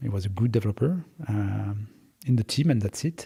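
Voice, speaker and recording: A somewhat breathy man with a French accent, dark and mellow in tone, at a moderate pace with lively intonation. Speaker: startup founder and CEO. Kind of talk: interview. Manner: hesitant, many filler words.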